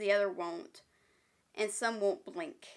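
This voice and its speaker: A woman speaks at a very slow pace, her tone bright and sharp and her pitch fairly high. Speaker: film reviewer. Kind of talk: casual talk to camera.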